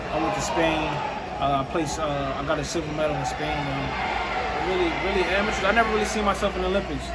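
Over loud background noise, a man speaks. His pace is very fast. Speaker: boxer. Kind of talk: interview. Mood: relaxed, confident. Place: hall.

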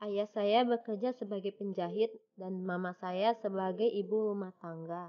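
At a fairly slow pace, a woman of medium pitch talks in a plain, everyday voice. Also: hardly any pauses. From Batam, Riau Islands, Indonesia. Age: young. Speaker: student volunteer applicant. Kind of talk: self-introduction video. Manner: formal.

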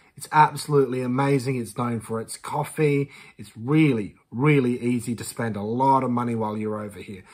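A man's animated voice at a fairly quick pace, with ordinary pitch variation, over a quiet background. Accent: Australian. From Western Australia. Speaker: YouTuber, reaction commentator. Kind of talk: reaction commentary. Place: home room.

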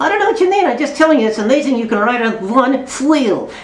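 A man speaks at a very fast pace in a put-on character voice. His pitch is extremely high. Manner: exaggerated breathy h sound.

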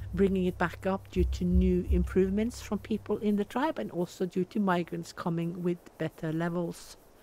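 The speaker goes at a fairly slow pace. Behind the voice, music plays. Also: woman. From Norway. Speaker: gaming YouTuber. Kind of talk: game commentary. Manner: casual.

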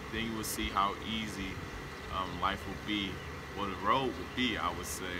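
A man holds a moderate pace while loud noise fills the background. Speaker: aspiring activist vlogger. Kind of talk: personal monologue to camera. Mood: earnest, calm, determined. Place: open country.

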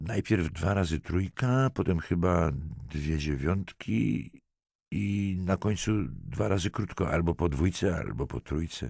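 Putting on a character voice, a man mumbles at a moderate pace with a very deep, low pitch and lively intonation, in a dry, close sound with no echo on a very clean recording with a silent background. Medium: read story. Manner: mumbling, grudging.

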